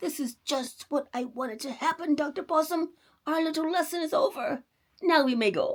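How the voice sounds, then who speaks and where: Someone performs a put-on character voice at a high pitch. The pace is moderate. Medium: read story.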